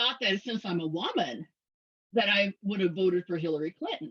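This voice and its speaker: A woman with an American accent at a moderate pace, in a dry, close recording with no echo. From US South, Mississippi. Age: 60s. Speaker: speaker on polyamory and intersectionality. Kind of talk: presentation. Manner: halting, many fillers.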